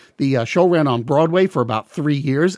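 This man speaks at a fairly quick pace with a Long Island accent, his fairly high pitch moving with ordinary variation, and the sound is dry and close with no echo. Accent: New York (Long Island). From Long Island, New York. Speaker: music podcast host. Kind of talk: podcast monologue. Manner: fast.

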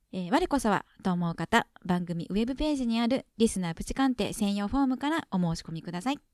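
With hardly any pauses, a woman talks at a fairly quick pace and a fairly high pitch, her intonation lively and the sound dry and close with no echo. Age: middle-aged. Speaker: podcast co-host. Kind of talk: program announcements.

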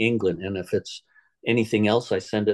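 Recorded dry and close with no echo against a quiet background, a man talks in a fairly low pitch with a dark, mellow tone. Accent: American. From Southern California. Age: 60s. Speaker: equine veterinarian. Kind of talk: interview.

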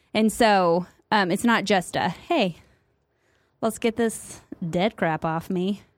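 Speaking very slowly with long, frequent pauses, a woman with a Midwestern accent keeps a medium pitch and ordinary pitch variation in a very clean recording with a silent background. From US Midwest. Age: 30s. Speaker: podcast co-host. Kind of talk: casual chat.

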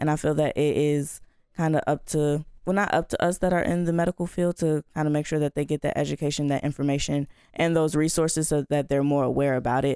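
Very deep and low in pitch, a woman talks at a very fast pace with a dark, mellow tone, monotone, flat intonation and very even loudness. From Chicago. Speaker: pre-med college student. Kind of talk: casual chat.

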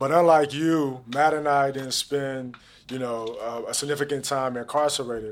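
In an American accent and an unremarkable speaking voice, a man talks at a moderate pace and a fairly high pitch, with fairly even intonation, in a very clean recording with a silent background. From St. Louis, Missouri (Jennings). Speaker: podcast host. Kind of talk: interview. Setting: studio.

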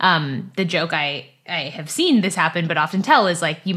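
Speaking with an American accent, a woman has a bright, sharp tone and a fairly low pitch. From California, US. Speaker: agtech venture capital investor. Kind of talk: interview.

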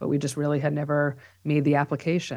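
Against a quiet background, a woman with a New York accent speaks at a very deep, low pitch. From New York (Bronx, Long Island). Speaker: psychotherapist and professor. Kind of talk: interview.

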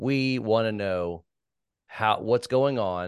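Over a quiet background, a man with medium pitch and an unremarkable speaking voice talks with ordinary pitch variation. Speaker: podcast host. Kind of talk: interview discussion on a church topic.

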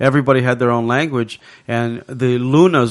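Against a quiet background, a man with a Hawaiian accent speaks at a moderate pace in a medium pitch with fairly even intonation. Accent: Hawaiian local English. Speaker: app creator, pidgin expert. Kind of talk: casual chat.

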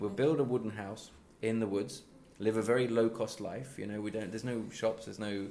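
Speaking at a fairly quick pace with an East Midlands accent, a man has medium pitch, and audible room echo fills the recording. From East Midlands, England. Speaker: crime novelist. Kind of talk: interview. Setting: in person at a book festival.

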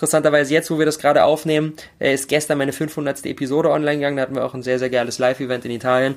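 A man with a fairly high pitch speaks very fast in a monotone, flat intonation, on a very clean recording with a silent background. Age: 20s. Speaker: podcaster. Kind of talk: casual chat.

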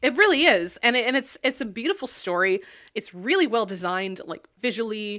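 A bright, sharp, fairly high-pitched woman's voice at a fairly quick pace, with very wide pitch swings. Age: 30s. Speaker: games podcast co-host. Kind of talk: casual chat.

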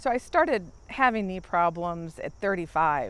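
The recording is very clean, and the background is silent. A woman speaks at a very slow pace. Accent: American. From Maryland. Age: 40s. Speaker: knee replacement patient. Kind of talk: interview testimony. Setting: outdoors.

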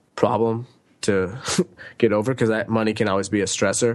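A man with an unremarkable speaking voice, medium in pitch. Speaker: author and digital nomad. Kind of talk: casual interview.

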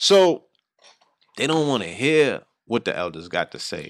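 Recorded very cleanly against a silent background, a man speaks in an animated tone with a dry, close sound and no echo. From New York, the Bronx. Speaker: radio host and hip-hop artist. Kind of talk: casual chat.

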